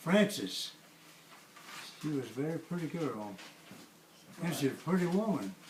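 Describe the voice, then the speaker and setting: A man at a moderate pace, fairly high in pitch, with long, frequent pauses and noticeable background noise. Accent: American. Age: 90s. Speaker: family elder. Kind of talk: oral history interview. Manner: halting.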